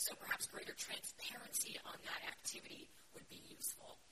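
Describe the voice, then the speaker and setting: A fairly quick whisper comes through noticeable background noise. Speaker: defense industry executive on panel. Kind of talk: panel discussion remarks. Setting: conference with audience.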